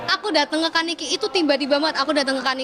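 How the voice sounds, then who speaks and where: A woman with a high pitch talks at a very fast pace in a raised, projected voice against noticeable background noise. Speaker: singing competition contestant. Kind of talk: casual interview chat. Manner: animated.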